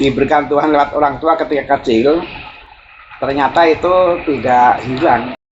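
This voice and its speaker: The speaker has a strong Javanese accent. The pace is moderate. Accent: strong Javanese accent, also in Sundanese. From Java (Javanese). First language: Javanese (speaking Indonesian). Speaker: spiritual teacher. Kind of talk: reflective talk. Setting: outdoors, walking.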